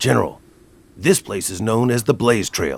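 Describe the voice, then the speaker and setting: Here a man uses a put-on character voice. He speaks at a moderate pace and a medium pitch. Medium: video game. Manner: curt, commanding.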